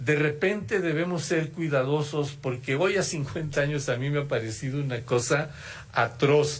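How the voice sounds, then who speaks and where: A man speaks at a moderate pace in a fairly high pitch, somewhat breathy. His pitch varies in an ordinary way, and the room echo is audible. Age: 70s. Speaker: former student activist, keynote speaker. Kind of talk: keynote lecture. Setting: auditorium with audience. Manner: halting, with false starts.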